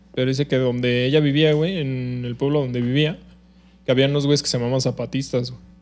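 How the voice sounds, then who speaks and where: Music plays in the background as a man talks at a medium pitch. His delivery is fairly quick and monotone, with flat intonation. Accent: Mexican. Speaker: podcast co-host. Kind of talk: casual chat.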